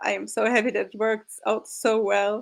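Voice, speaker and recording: A woman with a fairly high pitch and ordinary pitch variation talks at a moderate pace on a very clean recording with a silent background. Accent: non-native. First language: not English. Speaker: game master of tabletop roleplay actual play. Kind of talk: casual chat; closing narration of roleplay game.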